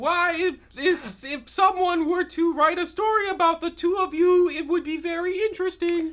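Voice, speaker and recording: The pitch sits extremely high. It belongs to a put-on character voice. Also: moderate pace, hardly any pauses. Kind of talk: comic overacting. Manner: sweetly polite then resentful.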